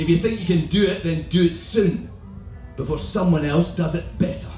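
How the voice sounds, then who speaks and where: Faint music plays in the background, and audible room echo surrounds the voice. A man talks in a Scottish accent with ordinary pitch variation. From Scotland. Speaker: performance poet. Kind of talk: comic spoken word poetry performance. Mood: comic, rhythmic delivery. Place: tent.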